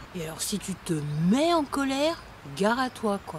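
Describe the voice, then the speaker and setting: A woman speaks at a medium pitch. Noticeable background noise runs underneath. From war-torn country abroad. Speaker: online course presenter. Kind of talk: video lesson. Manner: animated.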